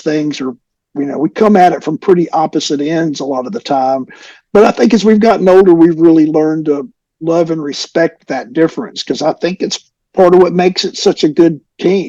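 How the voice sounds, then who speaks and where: Here a man with a Southern US accent talks at a moderate pace, his pitch fairly high with ordinary variation. His tone is dark and mellow, and the sound is dry and close with no echo. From US South, North Alabama. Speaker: rock musician. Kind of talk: interview.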